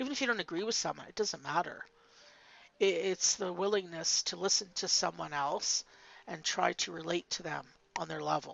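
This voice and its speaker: Her fairly low voice shows vocal fry, and the woman's pitch varies in an ordinary way. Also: moderate pace. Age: 50s. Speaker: faceless commentary YouTuber. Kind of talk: casual monologue vlog. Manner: hesitant, with fillers and restarts.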